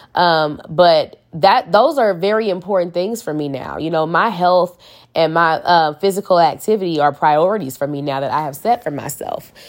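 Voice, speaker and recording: In a very clean recording with a silent background, a woman with an American accent uses an ordinary speaking voice at a fairly low pitch, with ordinary pitch variation, a moderate pace and hardly any pauses. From St. Louis, Missouri, US. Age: 30s. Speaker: podcast host. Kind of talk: casual solo monologue.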